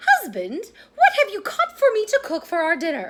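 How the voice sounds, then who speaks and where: Using a squeaky, put-on character voice at an extremely high pitch, a woman talks at a moderate pace. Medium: read story. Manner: bossy.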